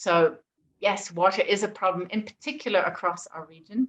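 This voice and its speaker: Using an ordinary speaking voice, a woman holds a medium pitch and shows ordinary pitch variation. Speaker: presenter for a faith-based environmental organisation. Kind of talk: presentation.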